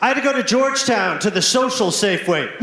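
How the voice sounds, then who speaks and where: A man with an American accent at a very fast pace and extremely high pitch, lively in intonation, over noticeable background noise and audible room echo. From US South, Alabama Gulf Coast. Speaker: stand-up comedian. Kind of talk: stand-up. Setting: stage with audience.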